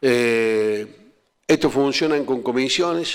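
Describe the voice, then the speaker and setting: This man speaks at a medium pitch. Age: 60s. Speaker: provincial legislator. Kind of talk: talk to students. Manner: halting.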